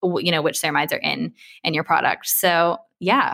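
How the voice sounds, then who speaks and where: A woman talks in a fairly low pitch with a bright, sharp tone. Her intonation stays fairly even. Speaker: skincare podcast host and consultancy co-founder. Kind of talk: casual interview chat.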